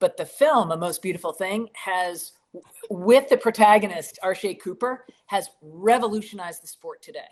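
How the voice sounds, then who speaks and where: A woman with an American accent speaks in an energetic tone at a moderate pace. Her pitch is medium for a woman, with ordinary pitch variation and big swings in loudness. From Boston area, Massachusetts. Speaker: documentary filmmaker. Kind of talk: interview.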